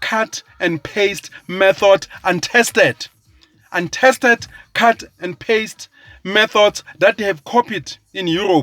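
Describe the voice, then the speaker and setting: Recorded dry and close with no echo, a man talks with an animated, bright, sharp tone at a high pitch. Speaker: social commentator. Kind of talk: political rant. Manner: slow; emphatic, animated.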